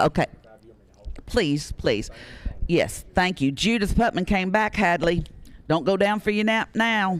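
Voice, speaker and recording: With a Tennessee accent, a man speaks fairly slowly in a high voice, with ordinary pitch variation, very even loudness, and long, frequent pauses. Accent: Southern US (Tennessee). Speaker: radio auction host. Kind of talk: live auction calling.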